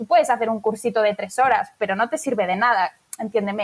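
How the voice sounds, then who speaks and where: A woman talks at a fairly quick pace. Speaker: business manager. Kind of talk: interview. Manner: fast.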